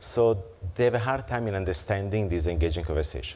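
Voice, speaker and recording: A man's very deep, low, somewhat breathy voice with an Italian accent, lively intonation and audible room echo. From Italy. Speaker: keynote speaker on financial technology. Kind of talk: conference keynote and Q&A. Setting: conference luncheon with audience. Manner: hesitant with fillers.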